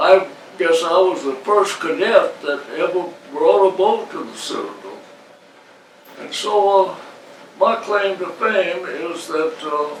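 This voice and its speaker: A man with an American accent talks at a very slow pace, leaving long, frequent pauses, and his loudness swings widely. Audible room echo and noticeable background noise are present. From US South. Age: 80s+. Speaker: retired coast guard captain. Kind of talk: interview. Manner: halting.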